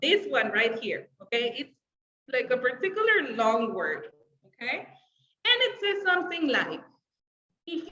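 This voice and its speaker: Raising and projecting her high voice, a woman swings her pitch very widely. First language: Spanish. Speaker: English teacher. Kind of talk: online class livestream. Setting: live video stream with chat. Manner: casual, filler-heavy.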